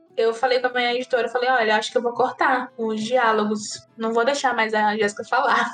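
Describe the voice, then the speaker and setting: This woman speaks at a high pitch in a monotone, flat intonation, keeping her loudness very even. She goes at a fairly quick pace with hardly any pauses, over noticeable background noise. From Northeast Brazil, Ceará (Juazeiro do Norte). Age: 30s. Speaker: writer. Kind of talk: interview conversation.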